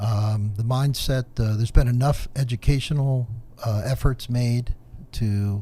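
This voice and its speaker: Somewhat breathy and dark, mellow in tone, a man's voice sits at a medium pitch with fairly even intonation. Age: 60s. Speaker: environmental professional. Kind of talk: podcast discussion.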